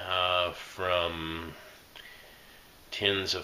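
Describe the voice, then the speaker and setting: In a room with audible echo and noticeable background noise, a man speaks with a very deep, low pitch and an American accent. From Indiana. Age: 40s. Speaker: associate pastor and quiz show applicant. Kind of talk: application video monologue. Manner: halting, many fillers.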